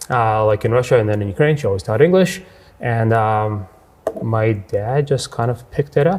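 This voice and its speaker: A man with a plain, everyday voice speaks at medium pitch and a moderate pace, his intonation lively. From western Canada, Edmonton. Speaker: business owner. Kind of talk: interview.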